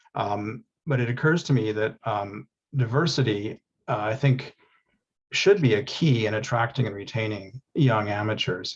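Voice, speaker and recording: There's a somewhat breathy quality to this man's medium-pitched voice. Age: 60s. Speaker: radio amateur attendee. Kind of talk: audience question.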